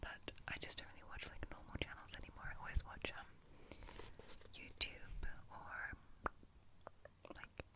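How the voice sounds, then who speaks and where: Someone is whispering at a moderate pace. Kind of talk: ASMR soft-spoken and whispered rambling. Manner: soft-spoken.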